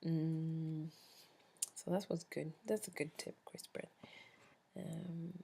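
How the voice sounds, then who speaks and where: A woman's somewhat breathy, dark, mellow voice, fairly low in pitch, with fairly even intonation at a very slow pace and long, frequent pauses. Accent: Swedish. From Sweden. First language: Swedish. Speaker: vlogger. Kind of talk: casual chat.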